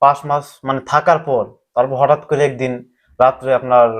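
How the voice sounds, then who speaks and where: An ordinary speaking voice belongs to a man with a medium pitch. The background is quiet. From Bangladesh, Kishoreganj. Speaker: migrant worker. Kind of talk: interview testimony.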